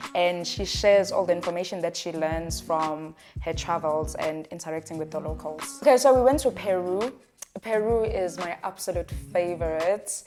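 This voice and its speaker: A woman's fairly low voice with ordinary pitch variation at a moderate pace, music in the background. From South Africa. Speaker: travel content creator. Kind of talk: casual talk to camera.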